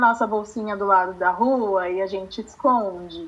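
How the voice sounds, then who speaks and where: A woman's medium-pitched voice with ordinary pitch variation, an ordinary speaking voice. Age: 20s. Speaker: law student, activist. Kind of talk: interview.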